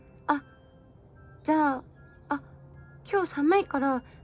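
Against music in the background, a woman with a high pitch speaks at a fairly slow pace with ordinary pitch variation. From Aomori, Japan. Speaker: idol. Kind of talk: comedy skit. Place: home room. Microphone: phone near.

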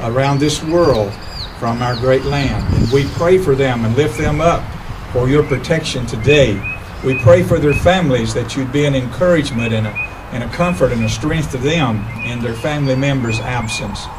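Noticeable background noise can be heard. The delivery keeps a moderate pace. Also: man, ordinary pitch variation. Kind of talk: public prayer. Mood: solemn, reverent. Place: garden.

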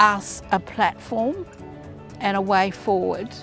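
Against clear music in the background, a woman speaks with fairly even intonation in a dry sound with no echo. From Darwin, Northern Territory, Australia. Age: 70s. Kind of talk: advocacy campaign testimony. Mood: earnest, heartfelt. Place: waterside. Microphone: lapel.

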